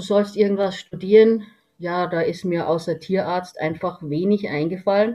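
Fairly even in intonation, a woman with an unremarkable speaking voice talks at a moderate pace. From Lower Bavaria, Germany. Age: 60s. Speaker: veterinarian and homeopath. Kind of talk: interview.

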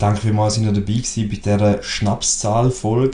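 With a Swiss accent, the speaker talks at a moderate pace in a dark, mellow tone. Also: man. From Switzerland. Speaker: podcast co-host. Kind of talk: casual chat.

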